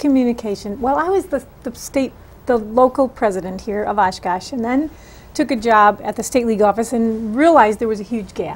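A woman talks with an American accent at a fairly quick pace. Her pitch varies in an ordinary way. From Wisconsin. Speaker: political candidate; candidate. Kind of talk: interview. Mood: earnest, engaged. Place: studio.

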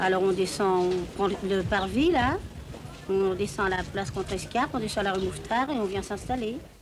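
Pitched at a medium level, a woman's voice shows ordinary variation. She keeps a moderate pace. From Paris. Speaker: market shopkeeper. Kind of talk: interview answer. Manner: casual, hesitant.

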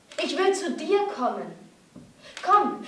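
This woman's voice has an extremely high pitch. Audible room echo surrounds it. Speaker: actress. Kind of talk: dramatic theatre monologue. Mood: distressed, angry, desperate. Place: stage.

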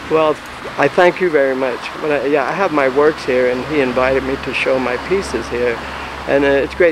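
A man speaks at a moderate pace with fairly even intonation. The sound is dry with no echo, and there is noticeable background noise. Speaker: interviewer. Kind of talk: informal interview chat. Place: street. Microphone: old recording.

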